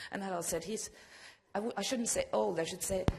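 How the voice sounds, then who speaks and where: A woman with a Norwegian accent speaks at a medium pitch with lively intonation. Her voice is somewhat breathy, and there is audible room echo. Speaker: regional broadcast manager. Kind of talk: conference presentation.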